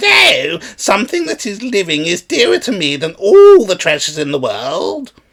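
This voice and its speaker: A man's put-on character voice, high-pitched, at a moderate pace with hardly any pauses. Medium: read story. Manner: sly, bargaining.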